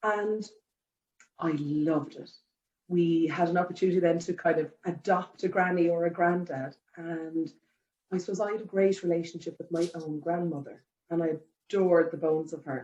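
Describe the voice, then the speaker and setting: A woman with an Irish accent speaks at a moderate pace with long, frequent pauses, her fairly low voice dark and mellow, her intonation fairly even. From Ireland. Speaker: care home general manager. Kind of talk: interview. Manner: conversational, many fillers.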